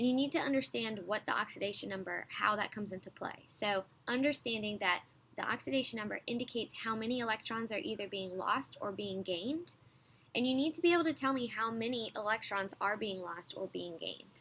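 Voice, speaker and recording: A woman with an ordinary speaking voice talks at a fairly quick pace in a fairly high pitch. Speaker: high school chemistry teacher. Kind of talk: recorded online lesson. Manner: sped-up playback, slightly high pitched.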